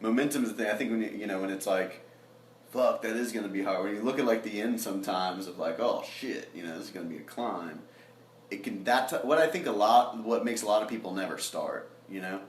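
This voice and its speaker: A man talks very fast at a medium pitch with ordinary pitch variation, with noticeable background noise and audible room echo. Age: 20s. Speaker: songwriter and producer. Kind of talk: casual chat.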